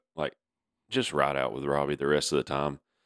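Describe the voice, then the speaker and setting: Speaking at a fairly quick pace, a man with a very deep, low pitch and vocal fry comes through dry and close with no echo. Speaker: podcast co-host. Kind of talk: casual sports podcast discussion.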